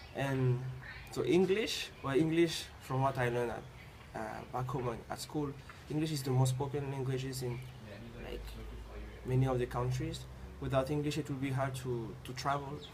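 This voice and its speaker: In a French accent, a man of medium pitch speaks at a moderate pace with fairly even intonation and long, frequent pauses. Background noise is noticeable, and the room echo is audible. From Tahiti. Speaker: university student. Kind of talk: interview. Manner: halting, frequent repetitions.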